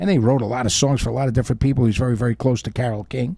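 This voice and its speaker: A man with a New York accent talks at a very fast pace, his pitch medium. His tone is dark and mellow and somewhat breathy. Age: 60s. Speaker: oldies radio host. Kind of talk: casual chat. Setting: studio.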